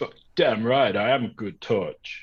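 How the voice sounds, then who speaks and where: Speaking at a fairly slow pace, a man uses a raspy, put-on character voice. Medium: actual play. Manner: sarcastic, complaining.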